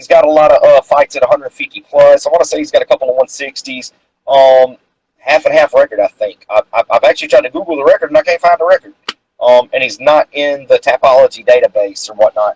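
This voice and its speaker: A man talks at a very fast pace in a Southern accent. His loudness swings widely, and the sound is dry and close with no echo. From North Carolina. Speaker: amateur boxer and interviewer. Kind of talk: casual interview chat. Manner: rambling, filler-heavy.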